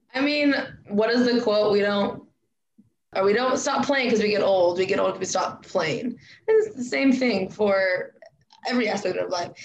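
This woman speaks with an American accent and a fairly high pitch. Her pauses are long and frequent. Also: ordinary pitch variation, moderate pace. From Spokane, Washington. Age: 20s. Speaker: podcast host. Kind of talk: casual chat.

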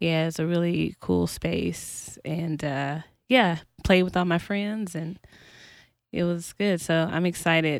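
An American-accented woman at a very slow pace with fairly even intonation, in a very clean recording with a silent background. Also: fairly low pitch for a woman. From US South, North Carolina; high school in Kansas City. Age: 20s. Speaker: singer and recording artist. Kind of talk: casual chat. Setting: recording studio.

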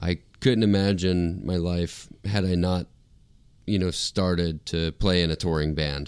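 With an American accent, a man with a very deep, low pitch speaks in fairly even intonation on a very clean recording with a silent background. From Florida, US. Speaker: rock guitarist. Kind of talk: casual chat.

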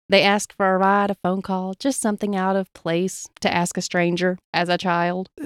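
On a very clean recording with a silent background, a woman with an Appalachian accent speaks with fairly even intonation. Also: dry, close sound with no echo. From Appalachia, US. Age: 20s. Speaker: podcast host. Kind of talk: storytelling narration.

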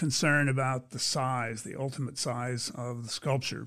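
Speaking in a normal speaking voice with an American accent, a man keeps a medium pitch and moderate pace. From Pennsylvania. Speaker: sculpture artist. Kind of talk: interview.

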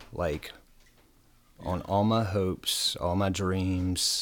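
Speaking with an American accent, this man has a very deep, low pitch. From Virginia (Bedford, small town). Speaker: person in addiction recovery, community navigator. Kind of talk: recovery testimony in radio interview.

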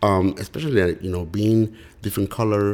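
A man with a Spanish accent talks at a moderate pace, keeping his intonation fairly even. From Mexico. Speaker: real estate investor. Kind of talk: interview.

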